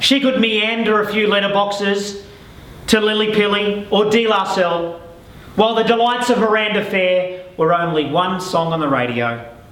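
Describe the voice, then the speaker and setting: A man's high-pitched voice with ordinary pitch variation amid noticeable background noise. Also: moderate pace, very even loudness. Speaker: real estate auctioneer. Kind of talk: scripted property pitch storytelling.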